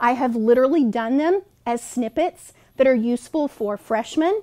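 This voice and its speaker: A woman speaks in a high voice with a dark, mellow tone and lively intonation. The recording is very clean, dry and close, with a silent background and no echo. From Texas. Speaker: university professor. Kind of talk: educational talk to camera. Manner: casual, friendly.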